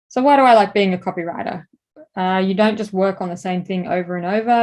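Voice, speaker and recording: At a moderate pace, a woman with an Australian accent speaks at a medium pitch with fairly even intonation. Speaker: advertising creative director and course instructor. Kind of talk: lecture.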